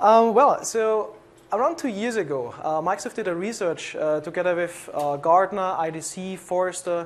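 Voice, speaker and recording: The speaker talks at a moderate pace with a European accent. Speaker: conference presenter, tech program manager. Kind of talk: conference presentation. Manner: frequent filler words and hesitations.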